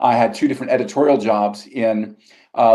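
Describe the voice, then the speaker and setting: A man's dark, mellow voice with an American accent and ordinary pitch variation. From US South, Georgia. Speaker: magazine language editor and journalist. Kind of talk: interview.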